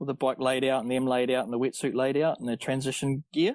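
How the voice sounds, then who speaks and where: Recorded in a dry, close sound with no echo, a man with a New Zealand accent speaks at medium pitch and a fairly quick pace. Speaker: amateur triathlete. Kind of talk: casual interview chat.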